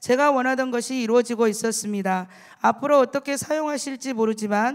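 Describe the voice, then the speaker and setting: A high-pitched woman's voice can be heard. She speaks at a fairly quick pace. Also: very clean recording, silent background. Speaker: church deaconess giving testimony. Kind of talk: testimony.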